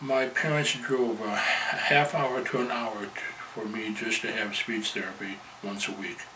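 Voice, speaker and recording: A man with an American accent talks at a fairly slow pace with fairly even intonation. Audible room echo and noticeable background noise fill the recording. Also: medium pitch for a man. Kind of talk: personal testimony.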